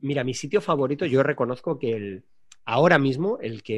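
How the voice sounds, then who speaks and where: Over a quiet background, a man with an ordinary speaking voice talks at a moderate pace, his fairly high pitch carrying lively intonation. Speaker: frequent business traveler. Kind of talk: casual chat.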